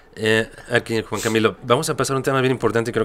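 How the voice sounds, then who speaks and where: Against light background noise, a man talks at a very fast pace with a fairly low pitch and fairly even intonation. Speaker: podcast host. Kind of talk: interview. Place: studio. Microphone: studio mic.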